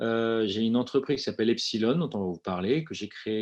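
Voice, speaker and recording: Here is a man with a normal speaking voice and a medium pitch. His pitch varies in an ordinary way over a quiet background. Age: 40s. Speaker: company founder. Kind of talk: webinar presentation.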